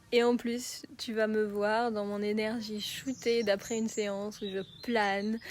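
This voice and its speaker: A woman talks at a very slow pace with a fairly high pitch. Her intonation is monotone and flat. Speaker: emotional release coach. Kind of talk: promotional talk.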